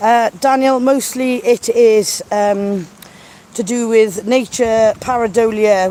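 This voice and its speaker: A woman with a South Wales accent, fairly high-pitched, with ordinary pitch variation, a fairly slow pace and noticeable background noise. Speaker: nature video creator. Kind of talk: live-stream chat with viewers. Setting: outdoors by a river. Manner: casual, chatty.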